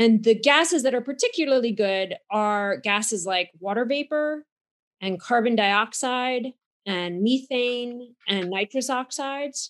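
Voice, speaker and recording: Her pitch high, a woman speaks at a fairly slow pace. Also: ordinary pitch variation, dry, close sound with no echo. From United States. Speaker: geochemist, university scientist. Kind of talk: interview, explanatory science talk. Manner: fluent explainer, fillers.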